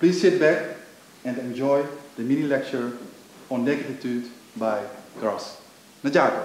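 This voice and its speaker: A man with a Dutch accent speaks at a fairly slow pace with ordinary pitch variation. Light background noise and audible room echo are present. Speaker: event moderator. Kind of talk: panel moderation. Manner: halting. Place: stage.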